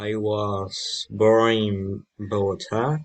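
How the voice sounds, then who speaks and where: A man speaks with a Colombian accent and a fairly low pitch. His pitch variation is ordinary, over a quiet background. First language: Spanish. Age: 20s. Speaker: language student. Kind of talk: class assignment self-introduction. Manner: halting.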